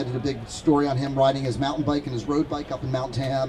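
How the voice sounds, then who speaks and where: In an American accent, a man talks at a very fast pace in an animated tone over noticeable background noise. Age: 60s. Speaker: concert photographer. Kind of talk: storytelling Q&A talk. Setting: stage with audience.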